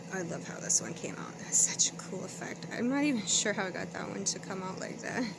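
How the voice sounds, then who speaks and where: Soft-spoken and at a medium pitch, a woman talks at a fairly quick pace with hardly any pauses, with audible room echo and noticeable background noise. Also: ordinary pitch variation. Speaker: crafter, channel owner. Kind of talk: craft flip-through tutorial. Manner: casual, chatty.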